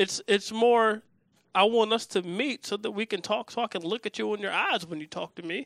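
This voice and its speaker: A man with an American accent speaks in a raised, projected voice, high-pitched, bright and sharp, with an animated tone, at a moderate pace. The recording is very clean, with a silent background and a dry, close sound free of echo. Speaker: podcast host and comedian. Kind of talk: casual chat. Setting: studio. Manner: animated, joking.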